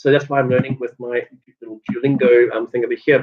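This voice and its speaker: A man with a South African accent talks at a very fast pace. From South Africa, Cape Town. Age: 30s. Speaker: vlogger. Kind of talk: casual vlog monologue. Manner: hesitant, many fillers.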